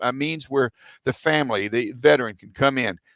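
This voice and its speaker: Speaking with a Texan accent, a man has a fairly high voice and a moderate pace. The sound is dry and close, with no echo. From Texas. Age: 70s. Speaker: military veteran. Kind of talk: interview. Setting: podcast. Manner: halting.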